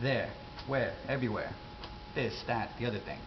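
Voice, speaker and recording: With an American accent, a man talks at a medium pitch against noticeable background noise. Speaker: accent teacher. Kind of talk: casual accent tutorial to camera. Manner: casual, rambling.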